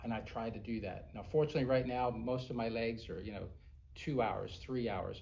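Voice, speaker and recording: A man speaks at a fairly quick pace with a medium pitch, ordinary pitch variation and a somewhat breathy quality, with audible room echo. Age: 60s. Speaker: airline pilot. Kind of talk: interview.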